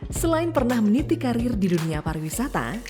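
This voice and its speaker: Music plays in the background while a woman talks at a fairly quick pace. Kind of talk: documentary narration.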